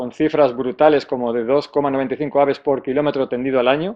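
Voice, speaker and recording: Pitched in the middle range, a man's voice moves along fairly quickly. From Spain, Salamanca. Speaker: conservation speaker at a technical conference. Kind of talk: conference talk. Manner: fast; halting, many false starts and fillers.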